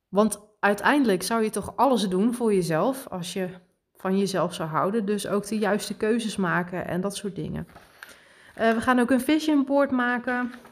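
This woman has an unremarkable speaking voice, medium in pitch with ordinary pitch variation, delivered at a moderate pace. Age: 30s. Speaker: podcast host and spiritual coach. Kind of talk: casual monologue.

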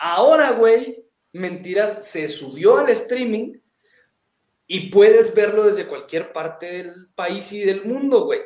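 A man with a high voice talks at a very slow pace, his loudness swinging widely. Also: ordinary pitch variation. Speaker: podcast co-host, guest this episode. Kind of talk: casual chat. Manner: animated.

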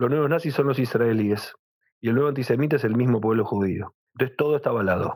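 A man with a Rioplatense accent talks at a fairly quick pace in a medium pitch. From Argentina, Buenos Aires. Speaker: rabbi. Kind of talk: interview.

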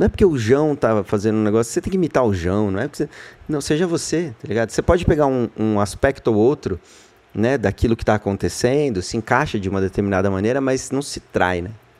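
With lively intonation and a medium pitch, a man talks at a very fast pace. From São Paulo, Brazil (Freguesia do Ó). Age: 30s. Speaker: singer in a music duo. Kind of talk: casual interview chat.

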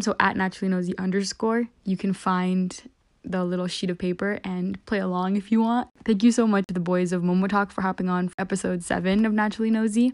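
Against a quiet background, a woman with a plain, everyday voice speaks at a medium pitch and moderate pace with fairly even intonation. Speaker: podcast host. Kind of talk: casual chat. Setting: video call.

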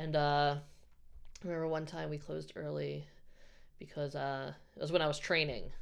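With room echo audible, a woman talks at a moderate pace. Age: 30s. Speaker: friend of a skate crew. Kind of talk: casual chat.

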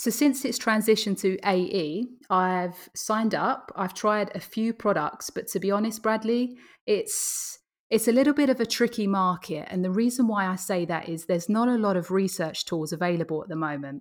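In a very clean recording with a silent background, a woman with an Essex accent speaks at medium pitch with ordinary pitch variation. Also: moderate pace. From Essex, England. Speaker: Amazon seller. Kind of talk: casual interview chat.

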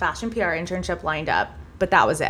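A woman with an American accent, fairly low in pitch, with vocal fry. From US Midwest, Indiana. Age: 30s. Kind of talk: casual chat.

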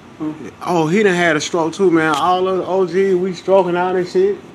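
A man with an American accent talks at a moderate pace in a high pitch. Noticeable background noise and audible room echo fill the recording. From US South. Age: 40s. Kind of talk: casual chat. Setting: garage. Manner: animated.

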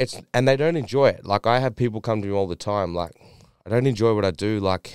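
A very fast, fairly low-pitched man's voice with an Australian accent and ordinary pitch variation, dry and close with no echo, on a very clean recording with a silent background. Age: 20s. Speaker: wellness and fitness coach. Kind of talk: casual chat. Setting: studio.

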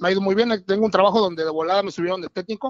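A high-pitched man at a very fast pace, in a dry, close sound with no echo. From Mexico, port of Veracruz. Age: 30s. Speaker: caller. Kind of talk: phone-in advice call. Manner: halting, many fillers.

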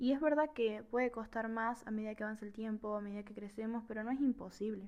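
A woman at a very fast pace, fairly high in pitch, with fairly even intonation. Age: 20s. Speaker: film podcast host, communication student. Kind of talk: casual monologue film review.

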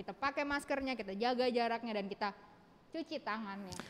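Talking at a very fast pace, a woman with a fairly high pitch uses lively intonation over noticeable background noise. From Indonesia. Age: 30s. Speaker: doctor. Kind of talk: interview. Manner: halting.

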